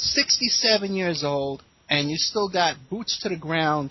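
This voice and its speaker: The voice moves at a moderate pace with an American accent. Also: man. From New York City, South Bronx. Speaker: radio host. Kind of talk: interview.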